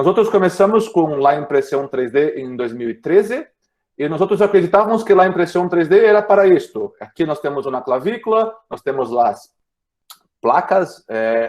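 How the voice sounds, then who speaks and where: With very wide pitch swings, a man speaks in a high pitch. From Brazil. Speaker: orthopedic surgeon. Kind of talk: lecture. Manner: halting, many repetitions; slow.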